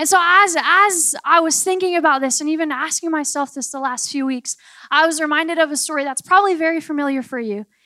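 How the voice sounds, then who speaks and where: Delivered at a very fast pace, this raised, projected voice has an animated, bright, sharp tone and ordinary pitch variation. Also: woman, high pitch for a woman. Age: 20s. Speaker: preacher. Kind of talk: sermon.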